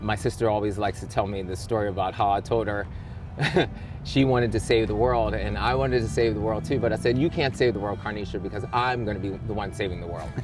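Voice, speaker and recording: With an American accent, the speaker goes at a very fast pace with ordinary pitch variation amid audible room echo. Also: man, fairly low pitch for a man. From Baltimore, Maryland, US. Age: 40s. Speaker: personal trainer. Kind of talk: interview. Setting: outdoors.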